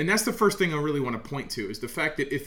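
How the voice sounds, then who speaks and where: A man with an American accent and a bright, sharp tone speaks amid audible room echo. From Oklahoma, US. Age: 30s. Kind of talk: solo podcast monologue, sermon-like.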